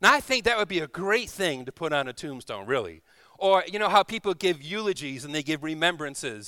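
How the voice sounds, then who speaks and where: A man's raised, projected voice sounds warm yet bright and sharp, with lively intonation. The recording is very clean, with a silent background. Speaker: guest preacher. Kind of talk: sermon. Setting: church. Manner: warm, informal, humorous.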